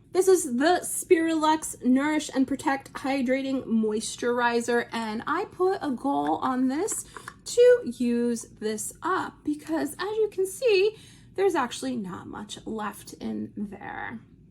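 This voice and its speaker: Very wide pitch swings run through a woman's high voice, heard with an American accent. She talks at a very slow pace over noticeable background noise. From New Jersey. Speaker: beauty vlogger. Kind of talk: casual product review vlog.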